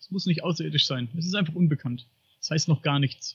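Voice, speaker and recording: A man talks in a plain, everyday voice. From Upper Franconia, Bavaria, Germany. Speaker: podcaster on paranormal and UFO topics. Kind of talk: podcast interview.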